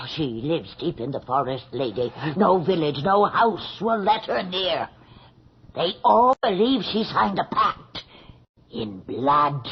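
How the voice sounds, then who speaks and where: A put-on character voice at a middle pitch moves at a fairly slow pace with very wide pitch swings. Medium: old radio play. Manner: deferential, hushed.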